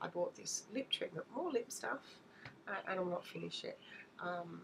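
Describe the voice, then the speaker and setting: Noticeable background noise is present. Over it, a woman speaks at a moderate pace. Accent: Australian. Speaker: beauty vlogger. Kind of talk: haul video, casual talk to camera. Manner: hesitant, many fillers.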